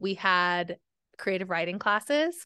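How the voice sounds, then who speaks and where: Over a quiet background, a woman with a normal speaking voice and an American accent talks at a fairly slow pace and medium pitch. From small-town Oklahoma. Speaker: novelist. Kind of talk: casual interview chat.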